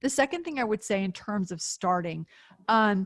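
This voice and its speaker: In a plain, everyday voice, a woman talks at a moderate pace and medium pitch with ordinary pitch variation, the sound dry and close with no echo. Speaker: author and business thinker. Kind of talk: webinar Q&A.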